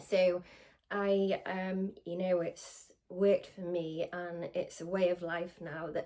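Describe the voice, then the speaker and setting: Her intonation monotone and flat, a woman speaks with a Welsh accent. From Wales. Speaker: spiritual medium. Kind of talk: casual talk to camera. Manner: informal, hesitant with many fillers.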